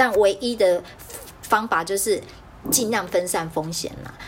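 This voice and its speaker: A woman talks at a fairly slow pace and a medium pitch, with ordinary pitch variation. Noticeable background noise is present. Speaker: podcast host. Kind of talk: casual chat. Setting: video call.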